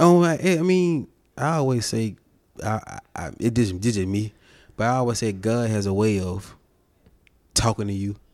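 A man's medium-pitched voice at a moderate pace, with lively intonation and long, frequent pauses, on a very clean recording with a silent background. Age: 30s. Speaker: podcast co-host and musician. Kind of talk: casual chat.

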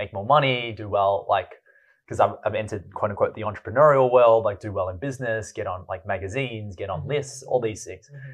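With an Australian accent, a somewhat breathy man speaks with ordinary pitch variation and big swings in loudness. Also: medium pitch for a man, fairly quick pace. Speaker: entrepreneur and poet. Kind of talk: casual chat.

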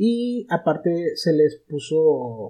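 Speaking with a Mexican accent, a man has a fairly high pitch, lively intonation, and a dark, mellow tone. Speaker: podcast guest, film fan. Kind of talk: casual chat. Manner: halting, many fillers.

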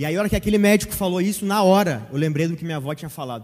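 In a somewhat breathy voice, a man rushes along at a very fast pace with ordinary pitch variation. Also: very clean recording, silent background. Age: 20s. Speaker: church member. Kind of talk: testimony.

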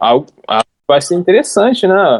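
Using an ordinary speaking voice, a man talks at a fairly slow pace with lively intonation, the sound dry and close with no echo. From Japan, raised by Brazilian parents. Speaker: translator and YouTuber. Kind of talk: casual chat.

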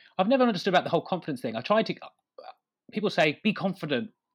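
Vocal fry runs through this voice. The speaker is a man. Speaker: comedian. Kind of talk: comedic interview. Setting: video call from home.

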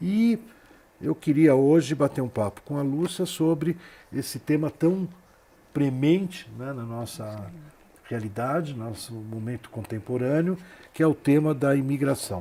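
The tone is dark and mellow, with lively intonation. The pace is fairly slow, with long pauses coming often. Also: man, fairly high pitch for a man. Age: 60s. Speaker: TV show host. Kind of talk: TV interview. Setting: studio.

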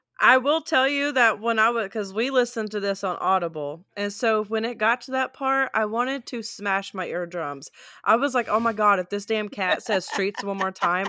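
Speaking at a moderate pace with hardly any pauses, a woman at medium pitch has a bright, sharp tone and ordinary pitch variation on a very clean recording with a silent background. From US South (South Mississippi), moved to central Oklahoma as a teen. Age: 30s. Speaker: podcast co-host, title abstractor. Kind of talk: casual chat.

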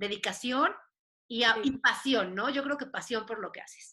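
A woman with a high-pitched voice and a bright, sharp tone speaks at a moderate pace, her pitch varying in an ordinary way. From Mexico, Puebla. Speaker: podcast host. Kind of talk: casual chat.

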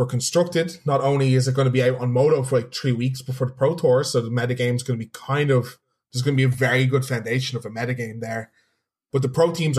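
A man with a Dublin accent talks at a fairly quick pace, somewhat breathy. His pitch is medium and his intonation fairly even. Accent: Irish (Dublin). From Ireland, Dublin. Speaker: competitive card game player and streamer. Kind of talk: casual chat.

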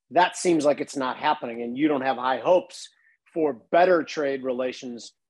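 A plain, everyday voice delivers its words at a moderate pace with fairly even intonation. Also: man. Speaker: podcast host. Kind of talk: casual interview.

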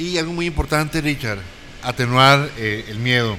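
A man talks with ordinary pitch variation while noticeable background noise and audible room echo fill the recording. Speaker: health professional, panelist. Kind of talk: panel discussion. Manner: halting, repeats words.

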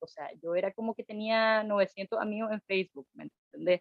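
Here is a woman with a plain, everyday voice. Her pitch is medium and her pace moderate. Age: 30s. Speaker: guest sharing her sobriety experience. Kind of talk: casual conversation, personal testimony.

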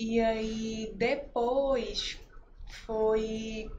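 A woman speaks at a fairly high pitch amid audible room echo. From Recife, Pernambuco. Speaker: clothing shop owner. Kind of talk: testimony in a casual interview.

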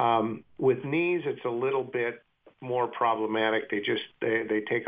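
A man speaks at a fairly slow pace with medium pitch and fairly even intonation. His is a plain, everyday voice. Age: 60s. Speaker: orthopedic surgeon. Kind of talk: radio interview. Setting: phone call.

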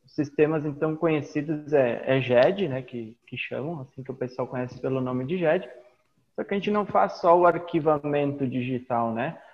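A man with an unremarkable speaking voice, fairly high pitch, ordinary pitch variation, a moderate pace, and big swings in loudness. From Rio Grande do Sul, Brazil (Caxias do Sul). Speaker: IT business owner and teacher. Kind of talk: interview.

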